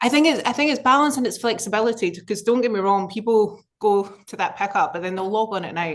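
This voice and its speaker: A woman's fairly high voice in a Scottish accent, at a very fast pace. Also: ordinary pitch variation. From Scotland. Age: 30s. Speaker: business executive. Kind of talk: interview.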